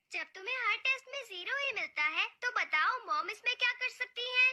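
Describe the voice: Someone speaks in a cartoonish character voice at an extremely high pitch and a moderate pace.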